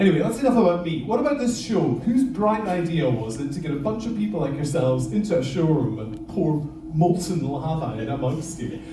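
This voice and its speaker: A man's fairly high, animated voice with very wide pitch swings at a fairly quick pace, amid noticeable background noise and audible room echo. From Scotland, Isle of Lewis, Outer Hebrides. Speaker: lava show presenter, former teacher. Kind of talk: live show presentation to audience. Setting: stage with audience.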